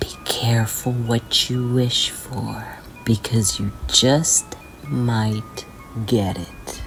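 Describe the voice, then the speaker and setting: Whispering at a very slow pace, a woman is heard with music in the background. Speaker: horror narrator. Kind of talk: horror sleep story. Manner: whispered.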